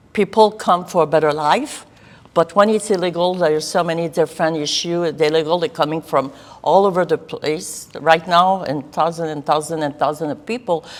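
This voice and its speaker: Her pitch fairly low and its variation ordinary, a woman talks at a moderate pace. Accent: French Canadian. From Quebec. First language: French. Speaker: political candidate. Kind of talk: interview. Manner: intense.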